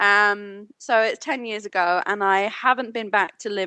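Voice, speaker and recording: A woman with a British accent speaks at a medium pitch and a fairly quick pace. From United Kingdom. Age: 30s. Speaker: business consultant. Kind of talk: podcast interview.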